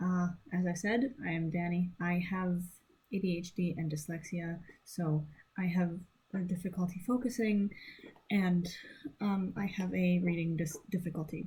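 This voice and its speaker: Fairly low for a woman and somewhat breathy, her dark, mellow voice moves at a moderate pace with fairly even intonation and long, frequent pauses. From French Canada. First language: French. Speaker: French teacher. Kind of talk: tutorial. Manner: halting, many fillers.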